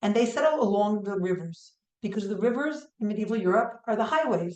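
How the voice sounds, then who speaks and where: A woman with a New York accent at a fairly quick pace, with audible room echo. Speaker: history professor. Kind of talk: lecture.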